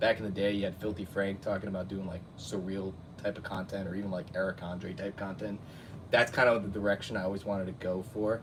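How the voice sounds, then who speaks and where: In an American accent, a man speaks at a very fast pace. His fairly low voice is somewhat breathy. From New Jersey. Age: 30s. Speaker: YouTube cartoon reviewer. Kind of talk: casual live stream chat. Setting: live stream at home. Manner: animated.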